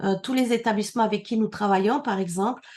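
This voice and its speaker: Against a quiet background, a woman with a dark, mellow tone speaks at a medium pitch and fairly even intonation. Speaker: immigration consultant. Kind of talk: conference talk.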